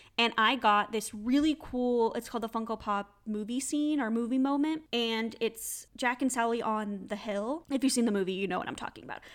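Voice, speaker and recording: A woman speaks in a plain, everyday voice, fairly high in pitch, with ordinary pitch variation, at a fairly quick pace with hardly any pauses. The recording is very clean, with a silent background. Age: 20s. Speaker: podcast host. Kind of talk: casual solo chat.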